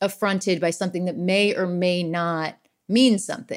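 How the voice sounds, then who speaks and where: An ordinary speaking voice from a woman, medium in pitch, with fairly even intonation and a fairly slow pace. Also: very clean recording, silent background. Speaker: comedian. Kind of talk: casual chat.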